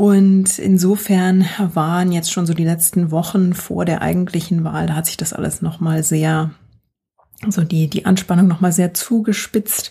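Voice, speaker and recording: A woman speaks in a fairly low pitch at a moderate pace. Her voice is somewhat breathy, with monotone, flat intonation. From Germany. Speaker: podcast guest living in the US. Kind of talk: casual chat.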